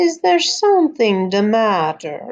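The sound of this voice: A woman does a put-on character voice in a Romanian accent, pitched fairly high. She speaks slowly, with big pitch swings.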